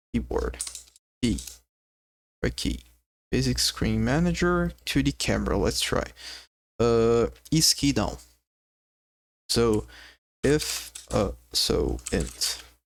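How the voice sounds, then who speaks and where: The speaker has a non-native accent and talks at a very slow pace with long, frequent pauses. The recording is very clean, with a silent background. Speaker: game dev streamer. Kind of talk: live coding stream. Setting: live stream. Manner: halting, repeats words.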